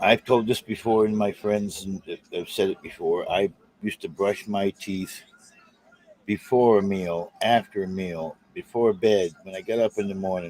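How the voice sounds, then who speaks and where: A man speaks at a moderate pace with an American accent, his pitch fairly low and his intonation fairly even. The sound is dry and close, with no echo. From South Boston. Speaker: live streamer. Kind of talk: casual chat. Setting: live stream.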